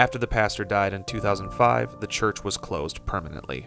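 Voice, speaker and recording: A man's fairly low voice at a moderate pace, dry with no echo, with music in the background. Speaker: documentary narrator. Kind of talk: documentary narration.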